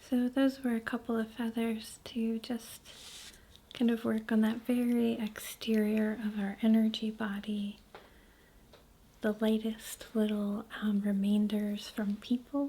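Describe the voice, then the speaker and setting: A soft-spoken woman talks at a very slow pace with a calm, dark, mellow tone and a fairly high pitch. Her voice is somewhat breathy, with monotone, flat intonation. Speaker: reiki practitioner. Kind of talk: reiki asmr healing session. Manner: soft-spoken, calm.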